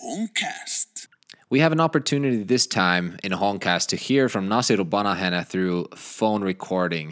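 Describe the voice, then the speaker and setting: With a Finnish accent, a man talks at a fairly low pitch with lively intonation, and the sound is dry and close with no echo. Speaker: podcast host. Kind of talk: scripted intro; interview. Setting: studio.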